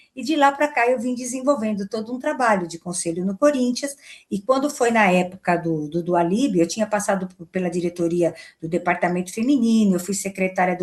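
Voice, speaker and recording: A woman talks at a fairly quick pace with ordinary pitch variation. She has an unremarkable speaking voice. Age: 60s. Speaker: football club board member and lawyer. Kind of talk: interview.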